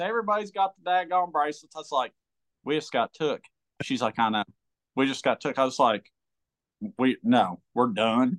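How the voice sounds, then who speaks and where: Lively intonation from a man at a fairly quick pace, in a dry, close sound with no echo. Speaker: pro bass angler. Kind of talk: casual chat. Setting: remote call. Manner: animated.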